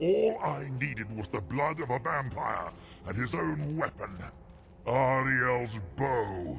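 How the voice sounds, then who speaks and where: The speaker uses a put-on character voice. Background noise is clearly heard. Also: man, medium pitch for a man, fairly slow pace. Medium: machinima. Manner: arrogant, scornful.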